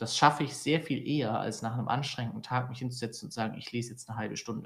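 A man's somewhat breathy voice sits at a medium pitch. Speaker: podcast co-host. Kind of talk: casual chat.

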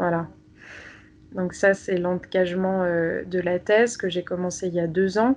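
A woman speaks at a very slow pace, with long, frequent pauses. Her pitch is medium and her intonation fairly even. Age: 20s. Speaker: doctoral student in sociology. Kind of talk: interview about personal faith. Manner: hesitant, many fillers and repetitions.

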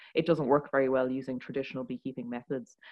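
A woman talks with an Irish accent. Her pitch is very deep and low. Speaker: tech startup founder and CEO. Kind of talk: interview. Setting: studio.

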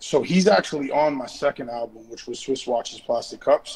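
A man with an American accent speaks at a moderate pace in a plain, everyday voice, fairly high-pitched, with ordinary pitch variation. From Boston. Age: 30s. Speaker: rapper. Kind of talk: casual chat.

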